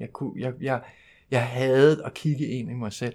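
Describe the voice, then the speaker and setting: Heard on a very clean recording with a silent background, a man talks at a moderate pace and medium pitch with fairly even intonation. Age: 40s. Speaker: recovering alcoholic speaker at a 12-step convention. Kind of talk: personal testimony talk. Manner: halting, with many fillers.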